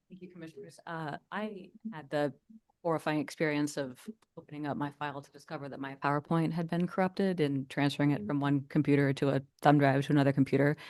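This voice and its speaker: Quiet overall yet with big swings in loudness, a woman talks at a very fast pace in a very deep, low pitch with ordinary pitch variation. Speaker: builders association government affairs advocate. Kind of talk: public meeting presentation. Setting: planning commission meeting.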